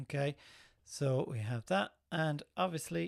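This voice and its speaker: A man talks with an Irish accent. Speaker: film composer and live stream host. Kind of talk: tutorial. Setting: live stream. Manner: casual, relaxed.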